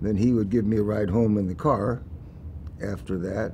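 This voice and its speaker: A man with an American accent has a dark, mellow tone and sounds somewhat breathy. Light background noise can be heard. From US Midwest, Des Moines, Iowa; Iowa. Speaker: venture capitalist; interviewee. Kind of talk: oral history interview. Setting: museum interview. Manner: halting, many fillers.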